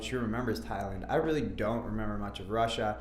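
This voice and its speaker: The speech is very fast, with an American accent. Room echo is audible, and music plays in the background. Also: man. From Minnesota, suburbs of Minneapolis. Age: 30s. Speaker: MMA fighter. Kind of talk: interview. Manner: casual, hesitant with fillers.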